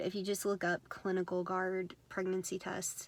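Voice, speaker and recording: Here a woman is speaking. Her intonation stays flat and monotone. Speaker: vlogger. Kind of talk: casual talk to camera. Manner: many fillers, uh and um.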